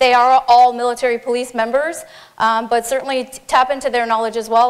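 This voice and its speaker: In a Newfoundland accent, a woman talks at a very fast pace. Her fairly high voice stays monotone and flat. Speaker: military police officer. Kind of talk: conference talk. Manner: informal.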